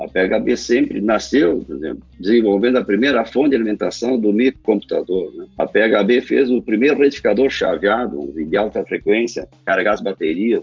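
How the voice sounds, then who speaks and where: Hardly pausing at all, a man talks at a moderate speed. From southern Brazil, Rio Grande do Sul (Lajeado). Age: 60s. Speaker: company co-founder and engineer. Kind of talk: interview.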